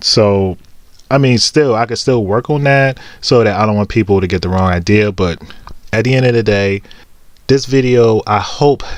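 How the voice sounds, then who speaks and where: The speaker is a man with a medium pitch. He keeps a moderate pace and ordinary pitch variation. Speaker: vlogger with Asperger's. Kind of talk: personal vlog monologue. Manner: halting, with fillers.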